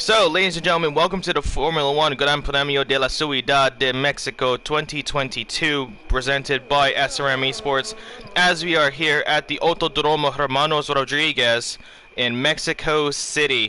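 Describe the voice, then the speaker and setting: A man's fairly high voice at a moderate pace, with fairly even intonation, very even loudness and noticeable background noise. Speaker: esports race commentator. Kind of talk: live commentary. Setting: live stream, hot room. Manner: halting, many fillers.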